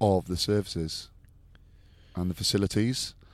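A man speaks with an English accent at a fairly low pitch. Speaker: rugby pundit. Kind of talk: casual chat.

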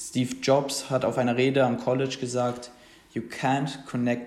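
Against audible room echo, a medium-pitched man speaks in a monotone, flat way at a moderate pace. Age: 20s. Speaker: podcast host. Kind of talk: casual solo podcast talk. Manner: casual, with many fillers.

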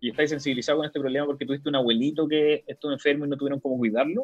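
The speech comes at a very fast pace in a Chilean accent. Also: man. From Chile, Antofagasta. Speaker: entrepreneurship expert. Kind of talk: casual interview.

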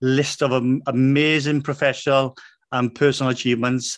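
Against a quiet background, a man with a British accent speaks at a medium pitch. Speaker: financial planner and podcast host. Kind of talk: interview.

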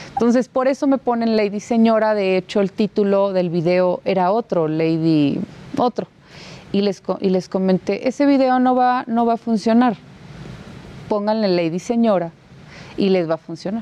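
A woman talks over noticeable background noise. The sound is dry and close, with no echo. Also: medium pitch for a woman, ordinary pitch variation, moderate pace, very even loudness. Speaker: borough mayor-elect. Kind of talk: interview.

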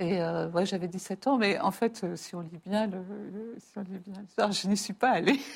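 A somewhat breathy voice with big swings in loudness, ordinary pitch variation, and a moderate pace. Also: woman, medium pitch for a woman. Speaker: writer and mathematician. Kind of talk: interview.

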